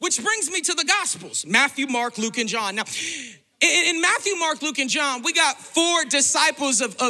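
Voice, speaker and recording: Animated tone at a moderate pace, over noticeable background noise. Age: 30s. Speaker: preacher. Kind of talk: sermon.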